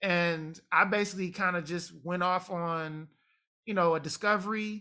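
Raising and projecting his voice, a man with an American accent speaks at a high pitch in a bright, sharp tone with fairly even intonation. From Detroit, US Midwest (Jamaican family). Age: 40s. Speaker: nonprofit executive. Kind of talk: casual interview. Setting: video call.

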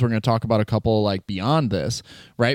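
A man's voice, dry and close with no echo. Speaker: podcast co-host. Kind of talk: casual chat. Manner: fast.

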